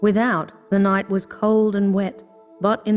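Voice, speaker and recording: Over music in the background, a woman with a medium pitch speaks at a fairly slow pace. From Sydney, Australia. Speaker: voice actor. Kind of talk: audiobook narration.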